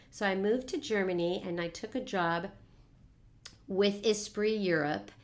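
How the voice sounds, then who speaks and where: A woman speaks with a Californian accent at a fairly slow pace. Her pitch varies in an ordinary way. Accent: General American, California. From Los Angeles, US West Coast. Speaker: network marketing coach. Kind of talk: casual interview.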